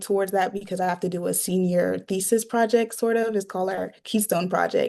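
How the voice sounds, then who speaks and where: In a quiet background, a woman with an American accent speaks in monotone, flat intonation. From New York. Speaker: university student. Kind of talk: interview answer.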